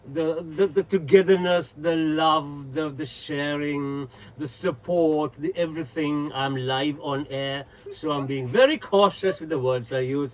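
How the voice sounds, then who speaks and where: A man's fairly high voice at a fairly slow pace, with ordinary pitch variation and noticeable background noise. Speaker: etiquette trainer and TV personality. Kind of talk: radio interview. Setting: radio studio. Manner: talkative.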